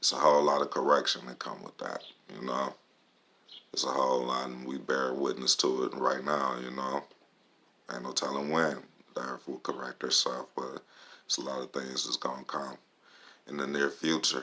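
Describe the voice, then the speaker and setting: Soft-spoken, a man talks with long, frequent pauses and big swings in loudness. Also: moderate pace. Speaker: vlogger. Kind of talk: casual monologue.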